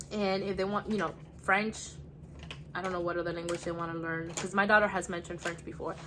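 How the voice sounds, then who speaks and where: Her intonation monotone and flat, a woman speaks at a very fast pace with a Spanish accent. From United States. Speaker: homeschooling mom vlogger. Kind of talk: casual vlog show-and-tell. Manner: casual with frequent fillers.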